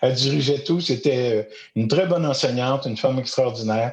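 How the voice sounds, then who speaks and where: A man is speaking at a moderate pace. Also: quiet background. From Quebec, Eastern Townships (Magog). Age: 60s. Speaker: storyteller and educator. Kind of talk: podcast interview. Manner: hesitant, many fillers.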